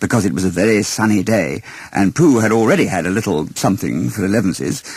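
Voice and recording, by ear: A man's fairly low-pitched voice, slightly mellow in tone, with lively intonation and a fast pace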